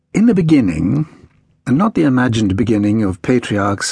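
A man talks at a fairly quick pace in a medium pitch, with a dramatic tone. His voice is somewhat breathy. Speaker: audiobook narrator. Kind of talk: audiobook narration of a history book, read aloud in first person. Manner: dramatic, measured storytelling with a formal, literary tone.

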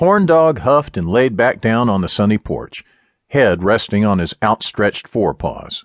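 A man at a moderate pace, in dry, close sound with no echo. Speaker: audiobook narrator. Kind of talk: dramatic first-person audiobook narration with character voices. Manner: animated, comedic, playful.

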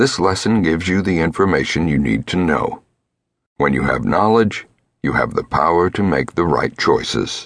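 With vocal fry and lively intonation, a man with a very deep, low voice speaks at a moderate pace. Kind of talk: scripted audiobook narration of self-help program instructions. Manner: formal, even, measured and instructional.

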